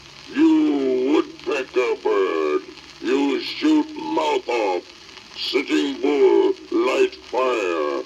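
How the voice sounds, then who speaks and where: Someone performs a put-on character voice at a very slow pace. Clear background noise sits under the speech. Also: man. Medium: audio drama. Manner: clipped broken-English speech.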